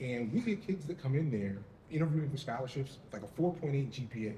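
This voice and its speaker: A man with a medium-pitched voice talks at a fairly quick pace with lively intonation over noticeable background noise. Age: 50s. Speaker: parent panelist. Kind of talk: panel discussion.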